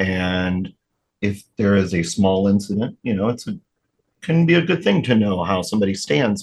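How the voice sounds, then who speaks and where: Using an ordinary speaking voice, a man talks at a moderate pace with a fairly low pitch. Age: 40s. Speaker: guest sharing mental health story. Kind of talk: interview. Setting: studio.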